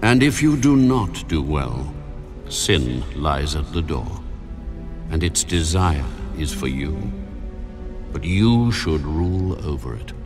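Clear music plays behind a man doing a put-on character voice at an extremely low pitch. He speaks slowly with big pitch swings and long, frequent pauses.

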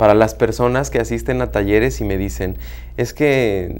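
A man is speaking. His voice carries vocal fry. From Mexico, host's home state. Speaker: therapist and workshop facilitator; workshop facilitator. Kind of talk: interview. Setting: studio. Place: studio.

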